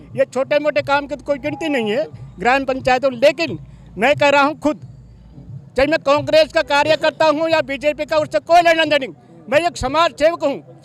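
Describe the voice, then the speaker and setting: Heard over noticeable background noise, a man speaks at an extremely high pitch with fairly even intonation in a dry, close sound with no echo. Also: moderate pace. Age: 60s. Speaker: village head. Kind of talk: interview.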